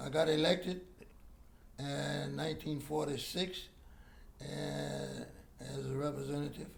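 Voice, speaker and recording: A man talks with an American accent. Audible room echo surrounds his voice. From Texas, Galveston. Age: 80s+. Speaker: war veteran. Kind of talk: interview. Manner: halting.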